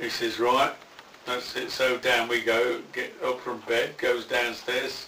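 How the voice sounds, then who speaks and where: Noticeable background noise sits behind a man speaking. He has a West Midlands accent and a fairly slow pace. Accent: Coventry English. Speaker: war veteran. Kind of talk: interview answer. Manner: casual, profane storytelling.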